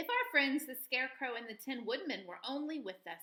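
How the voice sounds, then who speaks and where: Using a put-on character voice, a woman speaks at a fairly quick pace with a high pitch. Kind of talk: bedtime story. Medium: read story.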